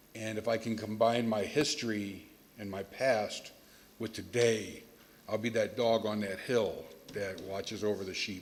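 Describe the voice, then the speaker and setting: A fairly low-pitched man with a Chicago accent, monotone and flat, at a fairly slow pace. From Chicago, US. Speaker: retreat graduate. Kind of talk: testimony. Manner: loud.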